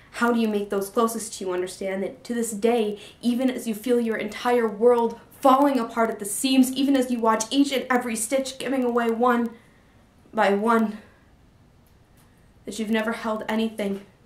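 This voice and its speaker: Noticeable background noise surrounds a woman speaking at a moderate pace. Her fairly high pitch keeps a fairly even intonation. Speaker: spoken word poet. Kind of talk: poetry reading.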